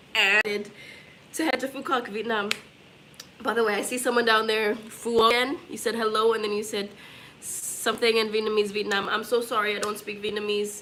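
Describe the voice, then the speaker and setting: A woman's fairly high-pitched, monotone voice with flat intonation, audible room echo and noticeable background noise. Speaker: travel vlogger. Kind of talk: casual chat. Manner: fast.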